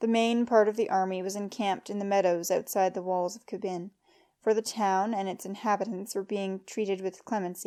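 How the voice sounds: The intonation holds fairly even. It is a natural reading voice.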